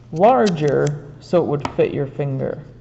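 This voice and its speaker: A quiet woman's voice comes through noticeable background noise. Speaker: art teacher. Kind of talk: tutorial. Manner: trying to talk quietly. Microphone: room echo.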